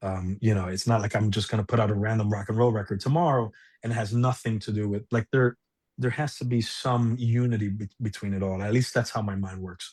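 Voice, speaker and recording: A man speaks at a fairly low pitch with fairly even intonation and a somewhat breathy sound. He moves at a fairly quick pace over a quiet background. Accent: Spanish. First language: Spanish. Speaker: musician. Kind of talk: casual chat. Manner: halting.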